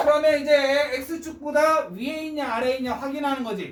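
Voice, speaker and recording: Amid audible room echo, a man speaks at an extremely high pitch. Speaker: math teacher. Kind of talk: lecture.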